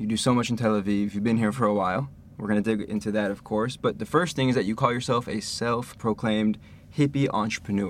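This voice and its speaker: Someone speaks at a very fast pace with an American accent. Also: man, fairly low pitch for a man, ordinary pitch variation. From Los Angeles, US. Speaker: podcast host. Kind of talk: interview conversation. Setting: studio.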